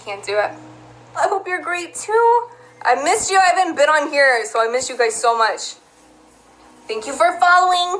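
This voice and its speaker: Over noticeable background noise, a woman with an American accent and an extremely high pitch talks at a moderate pace, her pitch swinging very widely between long, frequent pauses. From US South (Georgia), Texas-influenced. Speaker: live streamer. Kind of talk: casual live stream chat.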